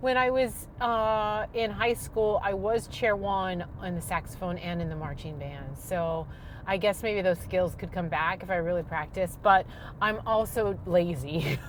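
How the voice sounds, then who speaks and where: Fairly slow speech from a woman, her pitch medium. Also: ordinary pitch variation. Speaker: vlogger. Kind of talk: casual monologue vlog. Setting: in a car, driving. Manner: loud; rambling with fillers.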